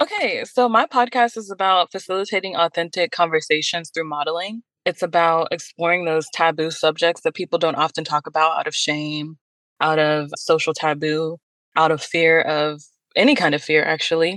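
Against a quiet background, a woman with an American accent speaks at a moderate pace, her fairly low voice showing ordinary pitch variation. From Pittsburgh, Pennsylvania. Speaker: podcast host and youth program director. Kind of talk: interview.

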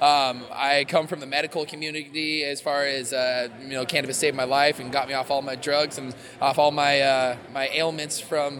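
The voice moves at a moderate pace with hardly any pauses and a monotone, flat intonation. Noticeable background noise runs underneath. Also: man, fairly high pitch for a man. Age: 30s. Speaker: extraction equipment company representative. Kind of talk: casual interview. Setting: trade show floor. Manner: halting, with many fillers.

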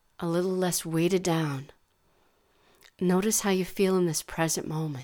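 A woman with a fairly low pitch speaks at a fairly slow pace in a soothing, calm tone. Her intonation is fairly even, and the recording is very clean with a silent background. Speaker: meditation guide. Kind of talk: guided meditation. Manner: slow, soothing, calm; soft-spoken, gentle, unhurried.

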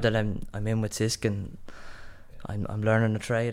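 A man with a Dublin accent and a medium pitch. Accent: Dublin Irish. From Ireland, Dublin. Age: young. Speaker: apprentice carpenter. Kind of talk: interview.

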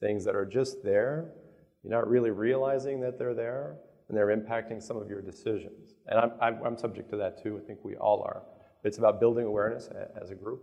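Speaking in a normal speaking voice at a medium pitch, a man moves at a fairly quick pace with fairly even intonation and big swings in loudness. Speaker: company executive. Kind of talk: panel discussion.

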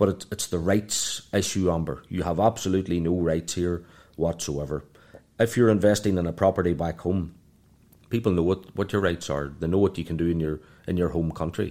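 A man talks at a fairly quick pace in a very deep, low pitch with a dark, mellow tone and fairly even intonation. The recording is very clean, with a silent background. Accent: Irish. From Ireland. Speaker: financial planner. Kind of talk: interview. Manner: halting, with frequent repetitions.

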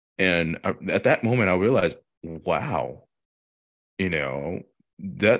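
A man with a Korean accent speaks at a very slow pace, his pitch very deep and low. His pitch swings very widely against a quiet background. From South Korea. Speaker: TV news reporter. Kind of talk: interview. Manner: hesitant, many filler words.

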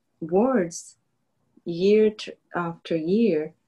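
The tone is dark and mellow, with ordinary pitch variation over a quiet background. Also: woman. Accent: non-native. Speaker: faith podcast co-host. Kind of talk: casual faith-based chat.

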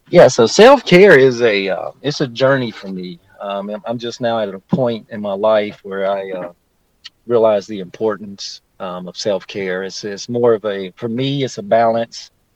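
Speaking at a fairly slow pace, a man with a Southern US accent uses a fairly low pitch. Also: big swings in loudness. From Shelby, North Carolina. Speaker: community school coordinator. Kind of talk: casual interview.

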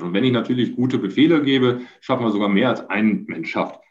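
Audible room echo surrounds a man speaking at a medium pitch. His intonation is lively, with vocal fry. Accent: Dutch. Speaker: construction company managing director. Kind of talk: interview. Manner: halting.

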